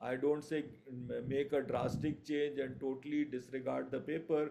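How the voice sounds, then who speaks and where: This man's voice has a dark, mellow tone and a monotone, flat intonation. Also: fairly high pitch for a man, moderate pace. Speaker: surgery lecturer. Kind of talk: online revision lecture. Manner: hesitant with fillers.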